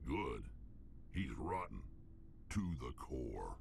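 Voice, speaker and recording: A man uses a put-on character voice. Clear background noise sits behind him. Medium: video game. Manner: blunt, terse.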